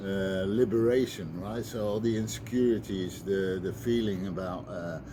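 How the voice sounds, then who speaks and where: This man talks at a fairly slow pace with a fairly low pitch and a dark, mellow tone. His pitch varies in an ordinary way, and the room echo is audible. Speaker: recovering addict sharing advice. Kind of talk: personal talk to camera, testimony. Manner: halting, many fillers.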